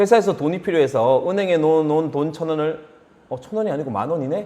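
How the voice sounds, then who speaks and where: A man with a fairly high pitch talks at a very fast pace, his intonation lively. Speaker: high school accounting teacher. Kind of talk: lecture.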